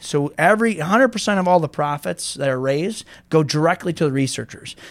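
A man with an American accent has a normal speaking voice, fairly high in pitch, with lively intonation. He talks at a fairly quick pace with hardly any pauses. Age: 40s. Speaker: car dealership owner. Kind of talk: casual interview.

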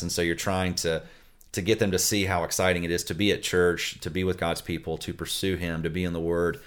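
Very deep and low, a man's voice runs at a very fast pace in a flat monotone with an American accent. The recording is very clean, the background silent. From US South, Florida Panhandle. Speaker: family pastor. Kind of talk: interview.

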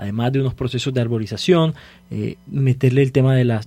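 A man talks in a somewhat breathy voice with a dark, mellow tone. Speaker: city council candidate. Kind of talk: radio panel discussion.

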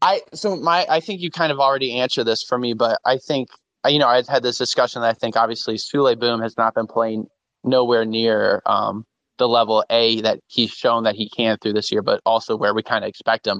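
Using a normal speaking voice, a man talks at a fairly quick pace with a medium pitch and ordinary pitch variation. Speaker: caller, fan account runner. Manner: jokey, playful.

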